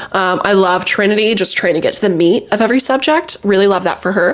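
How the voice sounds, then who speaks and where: A woman speaks at a fairly quick pace with an animated tone and lively intonation, while noticeable background noise plays behind her. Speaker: youtuber, reality TV commentator. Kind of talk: casual vlog commentary. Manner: animated, chatty; filler-heavy, self-correcting.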